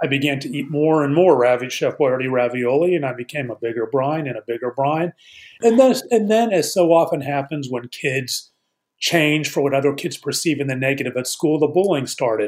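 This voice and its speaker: Here is an unremarkable speaking voice from a man with a fairly high pitch. He has ordinary pitch variation and a fairly quick pace. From Pittsburgh, Pennsylvania. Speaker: attorney, author and addiction recovery advocate. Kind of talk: interview, personal testimony.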